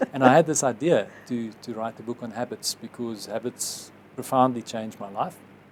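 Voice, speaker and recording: At a moderate pace, an ordinary speaking voice carries ordinary pitch variation and big swings in loudness. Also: man, medium pitch for a man. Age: 50s. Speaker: advertising executive and author. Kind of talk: interview.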